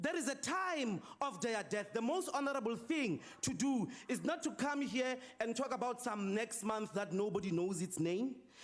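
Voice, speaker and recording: A man's extremely high-pitched voice with lively intonation, a moderate pace, very even loudness and hardly any pauses, against noticeable background noise. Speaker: opposition politician, parliamentary speaker. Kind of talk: parliamentary debate speech. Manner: forceful, accusatory, rhetorical.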